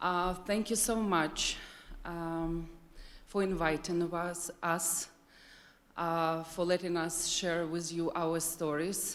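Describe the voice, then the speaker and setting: Speaking very slowly with a Ukrainian accent, a woman holds a fairly low pitch in a monotone, flat delivery. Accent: Ukrainian accent, non-native English. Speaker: nonprofit leader. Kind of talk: presentation.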